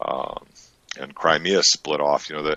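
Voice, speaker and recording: The recording of this man at a moderate pace is dry and close, with no echo. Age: 60s. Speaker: interview guest, Vietnam-era veteran. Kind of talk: casual interview. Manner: halting, many fillers.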